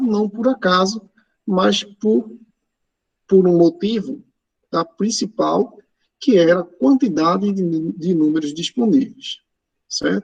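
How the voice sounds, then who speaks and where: A man with a high pitch uses lively intonation. He leaves long, frequent pauses, and the sound is dry and close with no echo. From Pernambuco, Brazil. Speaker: math teacher. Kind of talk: online lecture. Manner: casual, filler-heavy.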